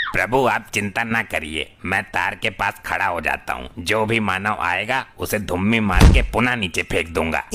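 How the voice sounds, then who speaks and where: A man puts on a cartoonish character voice at a fairly low pitch, going at a moderate pace with hardly any pauses over clear background noise. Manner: rustic, eager.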